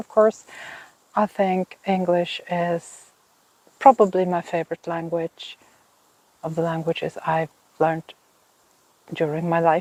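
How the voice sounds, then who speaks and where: A woman with a Swedish accent and a fairly low pitch speaks fairly slowly with fairly even intonation and long, frequent pauses, in a dry, close recording with no echo. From Finland. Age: 50s. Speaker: knitting podcaster. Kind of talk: casual vlog talk. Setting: outdoors in a garden.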